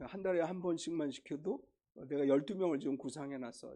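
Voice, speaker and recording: Fairly quick delivery in a dark, mellow tone, pitch varying ordinarily. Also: man. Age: 60s. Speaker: pastor. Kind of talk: sermon. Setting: church. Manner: casual, conversational.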